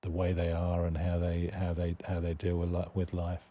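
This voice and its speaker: A man speaks with a British accent. His voice is very deep and low, dark and mellow in tone. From United Kingdom. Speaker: charity executive director. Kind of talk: podcast interview.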